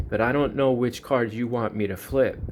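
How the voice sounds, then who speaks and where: A man talks in a New York accent with a medium pitch. His pace is moderate and his intonation fairly even. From US, Long Island, New York. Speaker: YouTuber. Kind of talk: casual monologue.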